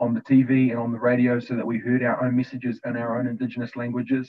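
Against a quiet background, a man speaks at a medium pitch. His pace is very fast. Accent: New Zealand. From New Zealand. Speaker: youth leadership co-founder; panelist. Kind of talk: opening prayer and talk. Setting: video call. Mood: warm, smiling. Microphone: video call.

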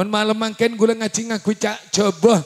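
Against a quiet background, a man with a high pitch speaks at a moderate pace in an animated tone. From Java, Indonesia. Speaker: Islamic preacher; preacher. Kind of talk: sermon. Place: hall. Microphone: handheld.

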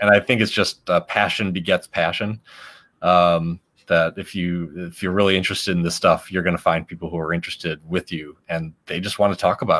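A man with an American accent speaks at a very deep, low pitch. His intonation is monotone and flat, and his pace fairly quick. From Chicago. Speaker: science outreach host. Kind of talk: interview. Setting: video call.

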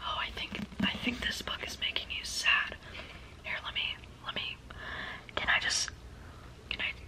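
A woman whispers at a moderate pace, with long, frequent pauses between phrases. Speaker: booktuber / ASMR beginner. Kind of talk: ASMR personal attention and book recommendation. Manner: soft, whispered, repetitive, calming. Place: home room.

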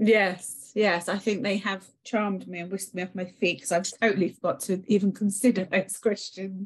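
A woman speaks in a monotone with flat intonation, at a medium pitch and a moderate pace. Her voice is somewhat breathy, with hardly any pauses. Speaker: prospective law student. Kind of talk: audience question. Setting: video call.

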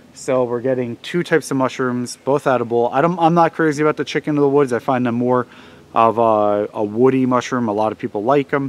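This man moves along at a fairly quick pace with ordinary pitch variation. His sound is dry, with no echo. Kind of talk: tutorial. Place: forest. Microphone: phone near.

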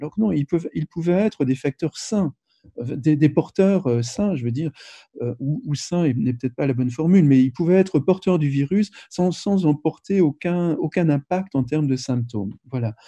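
Over a quiet background, a man speaks at a fairly high pitch with lively intonation. His voice sounds somewhat breathy, with a dark, mellow tone. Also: moderate pace. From France. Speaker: anthropologist. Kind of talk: interview. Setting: video call. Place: home room. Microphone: video call.

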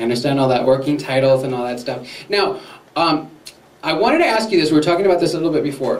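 Amid strong room echo, a man with a fairly high pitch talks at a fast pace. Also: ordinary pitch variation.

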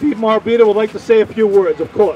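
A man speaks at a fast pace, his voice pitched high with a dark, mellow tone.

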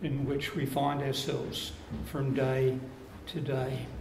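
A man with a slightly mellow tone speaks at a slow pace amid strong room echo.

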